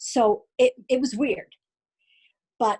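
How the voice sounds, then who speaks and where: A woman talks in a somewhat breathy voice. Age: 60s. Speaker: guest speaker sharing mental health story. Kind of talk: personal testimony.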